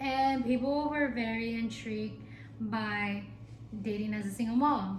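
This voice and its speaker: A woman is speaking. Her voice carries audible room echo and noticeable background noise. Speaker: YouTuber, single mom in the military. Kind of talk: casual vlog monologue. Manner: animated.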